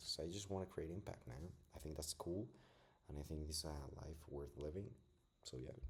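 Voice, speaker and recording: A man with a non-native accent speaks at a very deep, low pitch with vocal fry and ordinary pitch variation. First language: not English. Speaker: self-taught physics student vlogger. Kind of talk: casual study vlog. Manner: casual, filler-heavy.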